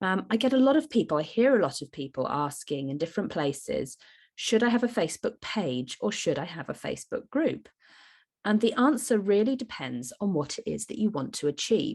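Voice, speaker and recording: Her fairly high voice swings very widely in pitch, with vocal fry, as this woman talks at a moderate pace. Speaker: podcast host for business mums. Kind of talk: solo podcast talk. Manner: hesitant with frequent fillers.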